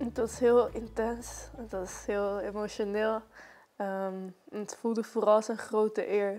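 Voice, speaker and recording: A woman's fairly high, dark and mellow voice at a very slow pace, flat and monotone in intonation, with big swings in loudness. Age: young. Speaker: spoken word poet. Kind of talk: interview answer.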